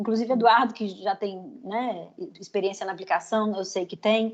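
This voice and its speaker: A woman's somewhat breathy voice in a dark, mellow tone at a fairly quick pace. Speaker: psychologist teaching a training class. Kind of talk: lecture.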